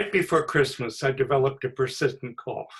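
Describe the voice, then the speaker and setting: Somewhat breathy, a man speaks with an American accent. His pitch is fairly high and varies in an ordinary way. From Southern California. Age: 80s. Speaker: writer. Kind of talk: reading aloud. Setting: video call.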